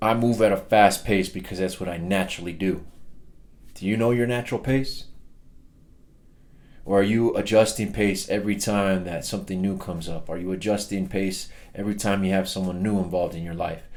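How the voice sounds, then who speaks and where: A man speaks with fairly even intonation. The room echo is audible. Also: fairly quick pace. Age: 30s. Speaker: personal development speaker. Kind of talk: motivational talk.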